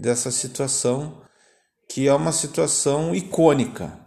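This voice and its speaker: A man's very slow speech with ordinary pitch variation and audible room echo. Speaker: podcast host. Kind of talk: casual chat. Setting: home.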